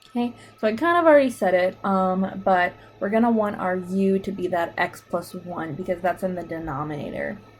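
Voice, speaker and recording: Music plays in the background as this voice moves at a fairly quick pace with ordinary pitch variation. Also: woman, medium pitch for a woman. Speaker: math teacher. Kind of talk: tutorial.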